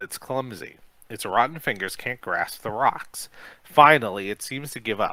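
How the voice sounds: This is a natural reading voice. It carries the text along.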